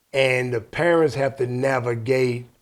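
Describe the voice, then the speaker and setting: This is a man with a medium pitch. His intonation stays fairly even. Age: 60s. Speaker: podcast host. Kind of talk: casual chat.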